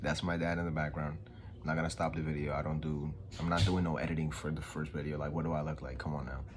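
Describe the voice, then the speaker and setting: A man with a New York accent at a very fast pace, very deep and low in pitch with monotone, flat intonation, plus audible room echo and noticeable background noise. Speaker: vlogger. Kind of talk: motivational talk. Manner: casual, unscripted.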